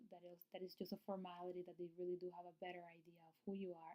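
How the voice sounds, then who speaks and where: Talking at a very fast pace, a woman with a Spanish accent uses a medium pitch. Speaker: nurse practitioner / registered nurse. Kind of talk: tutorial. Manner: casual, with many fillers.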